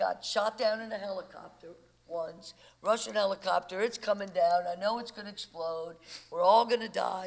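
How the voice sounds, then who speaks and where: A woman with a New Orleans accent talks at a moderate pace, her pitch rising and falling in an ordinary way. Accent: New Orleans Southern American. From US South, New Orleans. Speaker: former war journalist. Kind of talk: panel discussion.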